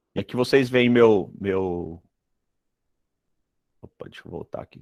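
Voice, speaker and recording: With a Ceará accent, a man talks at a fairly slow pace and ordinary pitch variation, recorded with a dry, close sound and no echo. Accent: northeastern Brazilian (Ceará), noticeable. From Brazil, Ceará (but moved around a lot). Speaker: dental materials professor. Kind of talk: online lecture. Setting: video call live stream. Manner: hesitant, many fillers.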